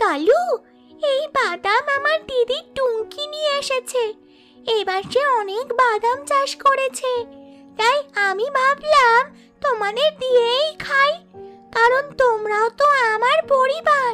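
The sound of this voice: A cartoonish character voice from a woman, extremely high in pitch and fairly slow, with faint music in the background.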